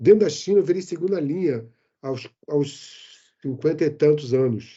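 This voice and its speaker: This man has a fairly high pitch and lively intonation. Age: 60s. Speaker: IT manager and expat. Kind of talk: interview. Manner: animated.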